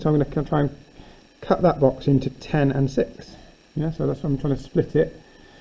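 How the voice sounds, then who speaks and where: A man's somewhat breathy voice, fairly high in pitch, with a dark, mellow tone. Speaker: maths teacher. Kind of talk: tutorial.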